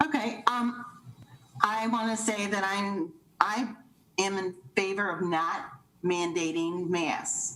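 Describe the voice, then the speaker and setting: A woman talks at a very slow pace with ordinary pitch variation. Her pitch is medium, and there is noticeable background noise. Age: 60s. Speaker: public commenter. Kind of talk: public comment.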